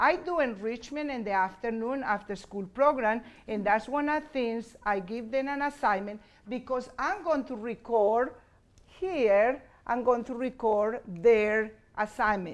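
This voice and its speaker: A woman with a Spanish accent and a fairly high pitch speaks at a fairly slow pace. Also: ordinary pitch variation. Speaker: bilingual teacher. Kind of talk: conference presentation. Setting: conference session with audience. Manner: halting.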